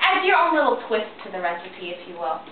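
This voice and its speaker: Over loud background noise, a woman speaks with audible room echo. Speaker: home cooking show host. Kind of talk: playful cooking tutorial. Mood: jokey, lighthearted. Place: kitchen. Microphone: camera far.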